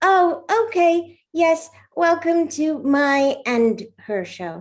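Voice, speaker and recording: At a very slow pace, a woman performs a put-on character voice. Her pitch is extremely high. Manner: cheeky, self-centred.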